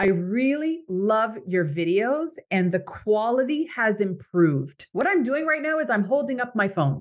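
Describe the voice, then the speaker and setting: An animated woman with an American accent speaks at a fairly slow pace, her fairly high pitch moving in very wide swings. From Canada. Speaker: podcast host and coach. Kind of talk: motivational monologue.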